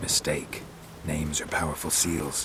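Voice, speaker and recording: A man performs a cartoonish character voice at a moderate pace. Loud background noise sits behind him. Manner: terse, deadpan.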